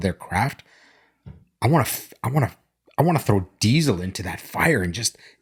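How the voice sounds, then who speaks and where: A man's somewhat breathy voice with very wide pitch swings, in a very clean recording with a silent background. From immigrant to Canada, childhood abroad. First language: not English. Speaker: business owner, podcast co-host. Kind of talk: casual chat. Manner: halting, with false starts.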